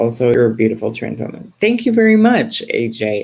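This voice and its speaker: Very deep and low in pitch, this woman talks with an American accent. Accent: suppressed Texas accent, slips out with y'all. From Texas. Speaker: livestream host. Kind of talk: casual live chat.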